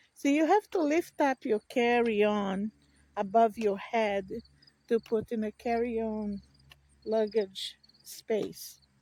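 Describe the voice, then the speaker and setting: In a dry, close sound with no echo, a woman with a fairly high voice and a dark, mellow tone speaks at a very slow pace, leaving long, frequent pauses, with ordinary pitch variation. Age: 60s. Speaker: vlogger. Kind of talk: casual vlog monologue. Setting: outdoors on a walk. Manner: halting.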